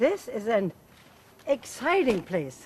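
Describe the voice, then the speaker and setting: Amid noticeable background noise, a woman with a high pitch speaks at a moderate pace with very wide pitch swings. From Germany, Berlin area. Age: 70s. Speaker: tour guide presenter. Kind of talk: travel documentary presenting.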